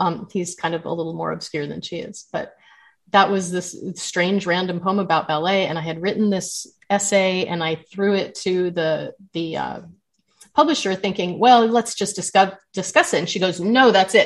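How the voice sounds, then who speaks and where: A woman with an American accent talks at a moderate pace and a medium pitch, with ordinary pitch variation. Hers is a normal speaking voice. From Southern California. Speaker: memoir author. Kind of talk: interview.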